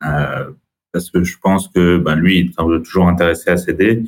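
With monotone, flat intonation, a man speaks in a very deep, low pitch. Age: 30s. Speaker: entrepreneur and business buyer. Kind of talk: interview.

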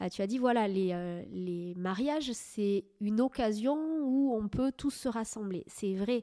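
A woman has a dark, mellow tone and a fairly high pitch, with ordinary pitch variation. She speaks at a very slow pace in a very clean recording with a silent background. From southwest France, Médoc. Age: 30s. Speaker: wedding and ceremony officiant. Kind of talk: interview.

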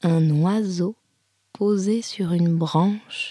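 A woman speaks at a very slow pace in a calm, soothing tone. Her pitch sits in the medium range. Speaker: yoga teacher. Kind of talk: guided meditation (yoga nidra), spoken image cues. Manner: slow, soft, calm, with pauses and repeated phrases; soothing, gentle, hypnotic.

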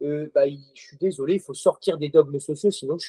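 A man's dark, mellow tone with fairly even intonation, in a dry, close sound with no echo. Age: 30s. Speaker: CrossFit gym owner and coach. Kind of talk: casual interview conversation.

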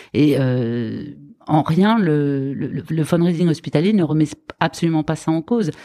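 A woman's very deep, low voice with a dark, mellow tone, a fairly slow pace and ordinary pitch variation. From France, Lyon region. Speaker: hospital foundation fundraising director. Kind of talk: interview.

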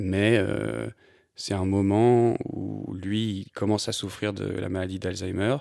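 A man with a fairly low voice and fairly even intonation is heard on a very clean recording over a silent background. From France, Annecy (Haute-Savoie). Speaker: photographer. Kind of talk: interview. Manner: hesitant, many fillers.

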